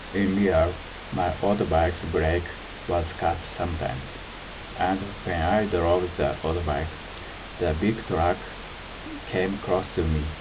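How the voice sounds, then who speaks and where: In a Japanese accent, a man with a very deep, low pitch talks at a fairly slow pace, with fairly even intonation and very even loudness, amid audible room echo and noticeable background noise. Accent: Japanese accent, non-native English. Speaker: self-described harassment victim. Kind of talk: presentation. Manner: halting.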